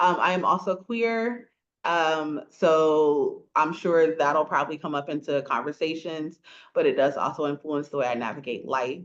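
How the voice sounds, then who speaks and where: An American accent at a moderate pace, ordinary pitch variation, quiet background. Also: woman, very deep, low pitch for a woman. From rural north Florida (small country town). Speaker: podcast co-host and English professor. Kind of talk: casual chat. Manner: animated.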